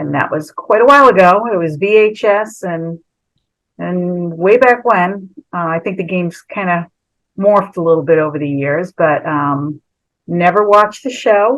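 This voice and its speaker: A woman's normal speaking voice, fairly low in pitch, with lively intonation and a fairly slow pace. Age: 60s. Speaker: former reality show contestant. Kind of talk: storytelling on a video call. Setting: video call. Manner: casual, chatty.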